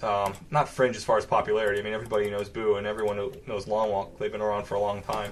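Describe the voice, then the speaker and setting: A man talks at a very fast pace with an American accent. His fairly low voice stays monotone and flat. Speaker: game commentator. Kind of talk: live commentary. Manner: many filler pauses.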